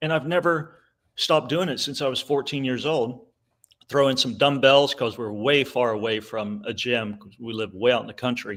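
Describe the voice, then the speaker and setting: A man's medium-pitched voice with ordinary pitch variation and big swings in loudness. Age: 60s. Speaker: conservative commentator and author. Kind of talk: casual chat. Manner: animated.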